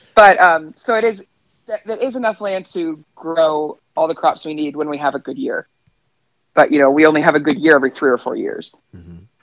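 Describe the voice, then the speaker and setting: A woman's fairly low, ordinary speaking voice, fairly quick and lively in intonation, with big swings in loudness and a dry, close sound with no echo. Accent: American. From northwestern Pennsylvania. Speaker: dairy farmer. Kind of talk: casual interview.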